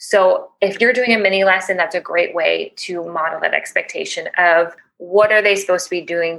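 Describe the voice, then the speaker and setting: A woman with a Chicago accent talks at a fairly quick pace. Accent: Chicago American English. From US Midwest, Chicago. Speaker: teacher educator, ELL specialist. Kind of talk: podcast interview. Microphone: cord issues causing occasional noises.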